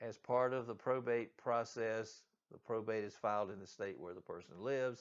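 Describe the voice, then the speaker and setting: A man with a Southern US accent keeps a fairly even intonation at a moderate pace, with big swings in loudness. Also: medium pitch for a man. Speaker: real estate agent. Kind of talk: reading aloud.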